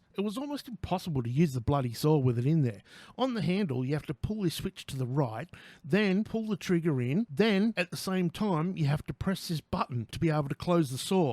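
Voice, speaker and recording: A man with an Australian accent, fairly high pitch, and lively intonation, on a very clean recording with a silent background and a dry, close sound with no echo. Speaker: tradesman. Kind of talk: product review to camera. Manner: casual, sweary, joking.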